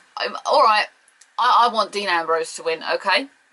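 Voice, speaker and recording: Someone speaks with a British accent in a raised, projected voice. The tone is animated. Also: woman. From Britain. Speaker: wrestling pundit. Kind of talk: casual video commentary.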